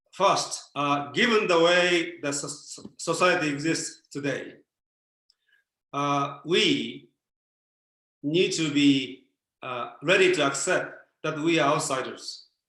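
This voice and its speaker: Amid audible room echo, a man with a fairly high pitch and a bright, sharp tone speaks at a very slow pace with ordinary pitch variation and long, frequent pauses. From Japan. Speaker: former Buddhist priest, speaker. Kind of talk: Q&A answers in online talk. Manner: halting, many fillers.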